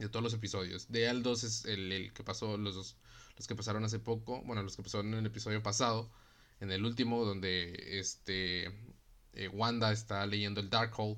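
With a Mexican accent, a man speaks in a monotone, flat intonation at a moderate pace, and the room echo is audible. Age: 20s. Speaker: podcast host. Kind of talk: casual monologue. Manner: casual, filler-heavy.

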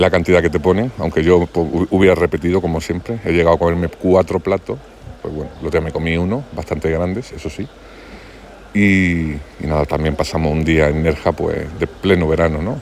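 A man with a very deep, low pitch speaks at a fairly quick pace and ordinary pitch variation. Noticeable background noise runs under his voice. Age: 40s. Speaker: podcaster. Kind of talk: casual monologue. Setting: outdoors by a pool.

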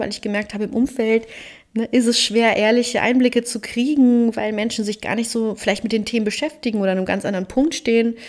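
A woman using a normal speaking voice keeps her fairly high pitch in fairly even intonation. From Germany, Cologne. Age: 30s. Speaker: podcast host and life coach. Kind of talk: solo podcast monologue.

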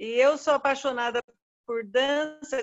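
A woman with a high pitch. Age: 70s. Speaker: dance student, guest's mother. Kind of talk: testimony.

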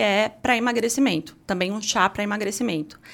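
A woman's normal speaking voice, fairly high in pitch and fairly quick in pace. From Sorocaba, São Paulo state, Brazil. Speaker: pharmacist and entrepreneur. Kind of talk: casual interview chat.

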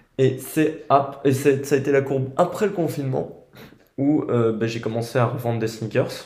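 A man speaks at a moderate pace and medium pitch, his voice somewhat breathy. His pitch varies in an ordinary way, and the room echo is audible. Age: 20s. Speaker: podcast host. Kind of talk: casual chat.

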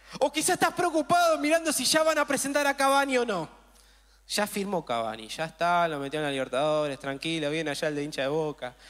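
Very fast and animated, a man talks in a high-pitched voice with very wide pitch swings. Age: 30s. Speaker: pastor. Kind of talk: sermon.

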